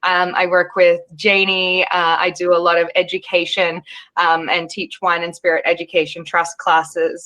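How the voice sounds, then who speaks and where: Fairly low, bright and sharp woman's voice with an Australian accent, monotone, flat intonation and a moderate pace. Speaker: wine expert and panel moderator. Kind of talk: webinar panel discussion. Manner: hesitant, many fillers.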